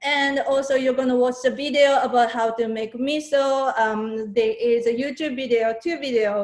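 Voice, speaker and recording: Here a woman speaks with a Japanese accent. Her pitch is high, and it varies in an ordinary way. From Japan, Saitama. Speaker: fermented food maker and workshop instructor. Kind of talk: online workshop presentation. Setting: video call.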